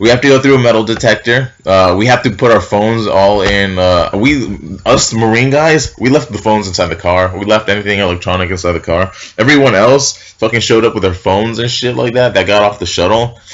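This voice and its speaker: Over noticeable background noise, an animated speaker with an American accent talks fairly quickly with hardly any pauses and ordinary pitch variation. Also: man, fairly low pitch for a man. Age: 20s. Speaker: military recruit vlogger. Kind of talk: casual vlog storytelling. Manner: loud.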